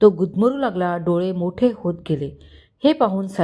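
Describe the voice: Ordinary pitch variation in plain reading aloud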